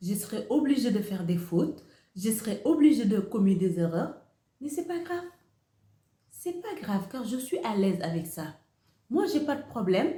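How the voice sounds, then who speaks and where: With a Senegalese accent, a woman speaks fairly slowly in a dark, mellow, somewhat breathy voice at a fairly high pitch, swinging widely in pitch amid audible room echo. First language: Wolof (speaking French). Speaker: YouTuber, motivational speaker. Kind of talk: motivational talk to camera. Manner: repetitive, hesitant phrasing.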